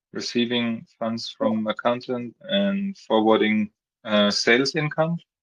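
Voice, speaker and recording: The speaker has lively intonation. The pace is fairly slow. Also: man, medium pitch for a man. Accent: non-native. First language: not English. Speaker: meeting facilitator. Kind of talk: community meeting discussion.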